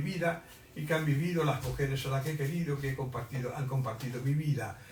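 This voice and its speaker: Audible room echo and noticeable background noise frame the recording. A man with a fairly high pitch speaks with fairly even intonation. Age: 80s+. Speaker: writer. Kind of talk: book presentation talk. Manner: halting.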